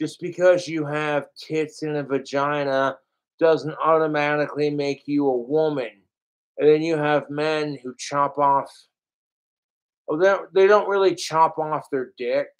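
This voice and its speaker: He has a normal speaking voice, pitched fairly high. The man's intonation stays fairly even. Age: 30s. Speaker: livestreamer. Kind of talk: livestream rant. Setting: livestream.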